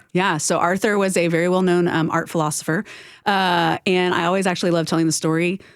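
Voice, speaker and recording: The speaker talks in a Southern US accent with monotone, flat intonation. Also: woman. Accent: Southern twang. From US South, Houston, Texas. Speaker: nonprofit executive. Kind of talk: interview. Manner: many fillers (um, uh).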